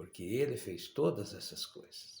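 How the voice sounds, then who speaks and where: Speaking very slowly, a man uses lively intonation in a somewhat breathy voice. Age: 60s. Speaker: preacher. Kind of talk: sermon.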